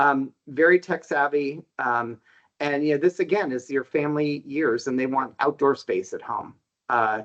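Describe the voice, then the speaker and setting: A man speaks in an ordinary speaking voice at a moderate pace, his pitch fairly high. His pitch variation is ordinary, and the sound is dry and close with no echo. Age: 60s. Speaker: housing market researcher. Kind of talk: podcast interview.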